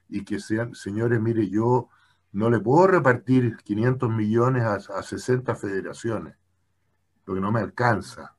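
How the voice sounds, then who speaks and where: The voice is somewhat breathy, with lively intonation. It is a very clean recording with a silent background. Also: man. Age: 70s. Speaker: former Olympic committee president and lawyer. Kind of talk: interview conversation.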